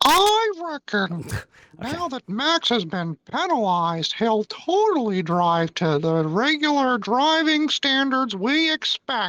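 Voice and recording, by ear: This put-on character voice sits at a fairly high pitch, swinging very widely in pitch at a fairly slow pace with hardly any pauses.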